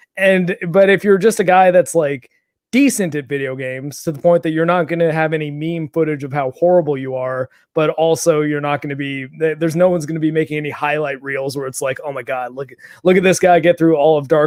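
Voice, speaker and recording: A man with a normal speaking voice talks fairly quickly at a fairly high pitch, his intonation fairly even. The sound is dry and close, with no echo. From Canada, Toronto. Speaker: gaming YouTuber. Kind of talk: casual chat.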